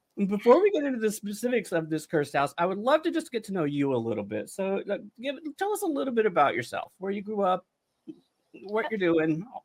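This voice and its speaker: A man speaks at a very fast pace in a high pitch, his voice making very wide pitch swings. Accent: American. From North Carolina, US South. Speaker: podcast host. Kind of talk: interview.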